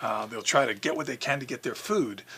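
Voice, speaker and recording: Talking at a very fast pace, a man with an American accent is heard against noticeable background noise. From New York City. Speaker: zoo communications director. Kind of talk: interview storytelling.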